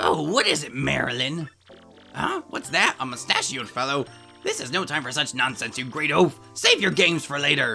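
Over clear background music, a put-on character voice with a low-to-middle pitch talks at a moderate pace. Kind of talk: comic villain overacting. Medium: fan dub. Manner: haughty, scornful, shrill bursts of cackling.

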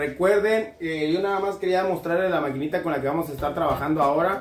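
Over clear music in the background, a man speaks at a fairly quick pace in a fairly high pitch with ordinary pitch variation.

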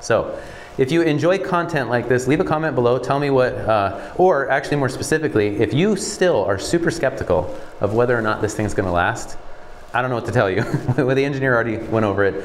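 Over light background noise, a man talks at a very fast pace with lively intonation. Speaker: building contractor. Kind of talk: walkthrough explanation. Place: empty room.

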